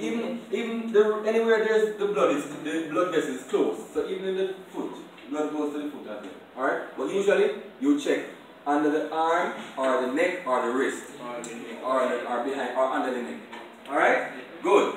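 A man's voice comes through strong room echo and light background noise. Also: moderate pace. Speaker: first aid instructor. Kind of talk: classroom lecture. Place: classroom. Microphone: camera far.

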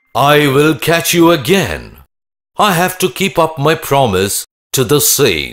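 A man's put-on character voice, raspy and fairly high, with lively intonation, a fairly slow pace and very even loudness, on a very clean recording with a silent background. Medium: cartoon. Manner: thoughtful, resolute.

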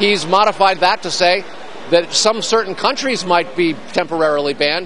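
Over light background noise, a man at a high pitch talks at a fairly quick pace with ordinary pitch variation, in a dry sound with no echo. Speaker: TV news correspondent. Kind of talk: news report. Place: hall.

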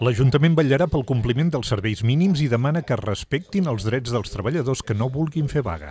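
A man's somewhat breathy, dark, mellow voice at a medium pitch, fairly quick and lively, with hardly any pauses. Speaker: news narrator. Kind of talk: news reading. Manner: formal.

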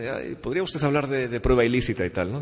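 A man speaks at a very fast pace. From Spain. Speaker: law professor. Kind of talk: lecture. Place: hall. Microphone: podium.

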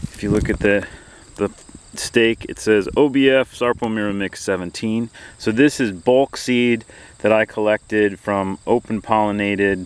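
A normal speaking voice moves at a fairly slow pace with fairly even intonation, the sound dry with no echo and light background noise behind it. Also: man, fairly low pitch for a man. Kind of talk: casual vlog chat. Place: farm. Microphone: phone near.

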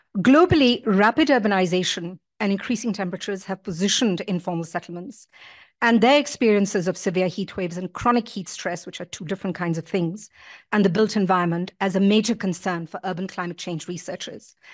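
Over a quiet background, a woman talks at a very fast pace. Her loudness swings widely while her pitch varies in an ordinary way. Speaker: academic keynote speaker; keynote speaker. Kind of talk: lecture. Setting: stage with audience. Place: hall. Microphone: podium.

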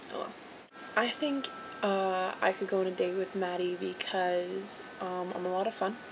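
Amid noticeable background noise, a woman talks at a fairly slow pace with fairly even intonation. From Vancouver, Canada. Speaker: vlogger entering a contest. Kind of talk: video dating entry, casual self-introduction. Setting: recording to a camera, video. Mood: playful, slightly awkward. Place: home room. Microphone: webcam.

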